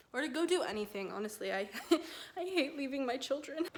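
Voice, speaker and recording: A woman speaks over noticeable background noise. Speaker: lifestyle vlogger. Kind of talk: casual vlog talk to camera. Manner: low-energy.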